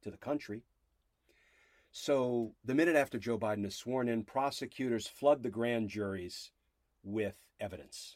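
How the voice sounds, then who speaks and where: A man with an American accent talks at a moderate pace and medium pitch. The recording is very clean, with a silent background. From New Jersey. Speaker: podcast host, former federal prosecutor and legal analyst. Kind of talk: solo podcast monologue. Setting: studio.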